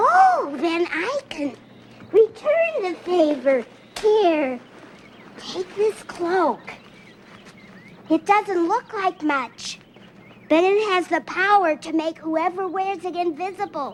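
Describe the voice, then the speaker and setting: A put-on character voice sounds female and extremely high. It moves at a very slow pace with long, frequent pauses. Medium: short film.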